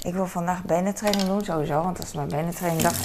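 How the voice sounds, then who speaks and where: A woman talks with a fairly low pitch. Noticeable background noise runs underneath. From Netherlands, The Hague. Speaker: vlogger. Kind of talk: casual vlog monologue. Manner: halting, many fillers.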